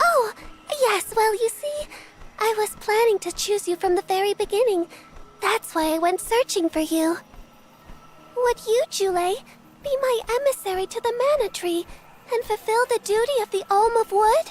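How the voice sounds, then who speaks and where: An extremely high-pitched put-on character voice with a gentle, warm tone, at a moderate pace with long, frequent pauses. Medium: video game.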